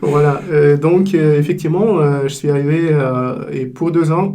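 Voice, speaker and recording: Over noticeable background noise and audible room echo, a man with a Russian accent speaks at a fairly slow pace in a fairly high pitch with ordinary pitch variation. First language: Russian (speaking French). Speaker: business executive. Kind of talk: interview. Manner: halting, many hesitations.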